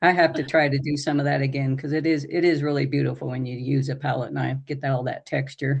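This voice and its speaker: A woman talks at a very fast pace in a very deep, low pitch, her intonation monotone and flat, with vocal fry. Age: 70s. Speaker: retired painter. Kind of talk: casual chat.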